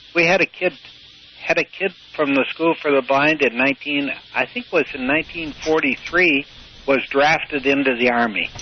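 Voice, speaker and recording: Against noticeable background noise, a man with an Upper Midwestern accent talks fairly slowly in a fairly high pitch. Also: ordinary pitch variation. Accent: Upper Midwestern American. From US Midwest, Michigan. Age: 80s+. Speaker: retired sailor, blind school graduate. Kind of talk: interview. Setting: phone call. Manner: halting.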